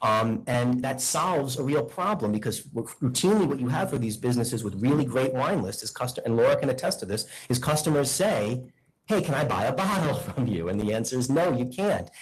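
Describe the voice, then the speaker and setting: Over noticeable background noise, a man with a medium pitch talks at a fairly quick pace with lively intonation. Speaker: attorney. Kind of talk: formal hearing presentation; heated debate. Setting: board meeting hearing room. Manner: loud.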